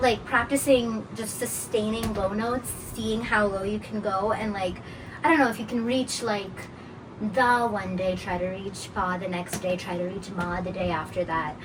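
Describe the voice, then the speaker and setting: A woman speaks at medium pitch and a moderate pace, with ordinary pitch variation. The room echo is audible and background noise is noticeable. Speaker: Carnatic vocalist. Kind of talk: casual interview. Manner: hesitant, many fillers.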